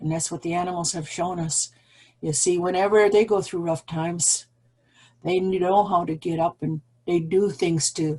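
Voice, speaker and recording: This woman's voice has a dark, mellow tone and a fairly low pitch, and it is somewhat breathy. Her intonation stays fairly even at a moderate pace. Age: old. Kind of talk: speech. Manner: shaky; halting.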